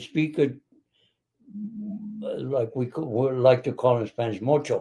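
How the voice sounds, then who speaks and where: A man with an American accent speaks at a medium pitch in a somewhat breathy voice with a dark, mellow tone and ordinary pitch variation. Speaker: retired business leader. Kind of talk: interview. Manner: halting.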